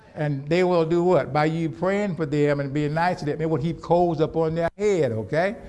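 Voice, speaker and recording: The man's fairly high voice carries audible room echo. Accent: American. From US Southwest, Phoenix, Arizona. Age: 70s. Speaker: pastor. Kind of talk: sermon. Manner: call-and-response questioning, repetitive.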